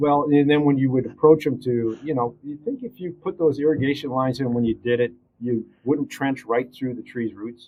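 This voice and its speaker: A man speaks in a plain, everyday voice with an American accent, his pitch medium. His pitch varies in an ordinary way at a moderate pace. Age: 60s. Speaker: arborist. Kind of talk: casual interview. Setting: studio.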